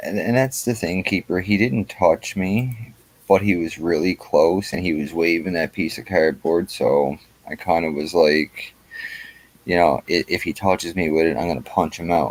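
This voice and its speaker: Over noticeable background noise, a man with a Newfoundland accent speaks at a moderate pace in a very deep, low pitch with ordinary pitch variation. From Newfoundland, Canada. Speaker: YouTube auditor livestreamer. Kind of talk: casual livestream chat. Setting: online livestream.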